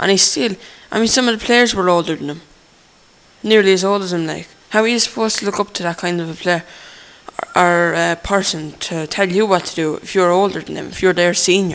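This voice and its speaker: Noticeable background noise under a man's high voice. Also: fairly even intonation, fairly quick pace. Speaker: football vlogger. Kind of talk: casual monologue. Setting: on a train. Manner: fast.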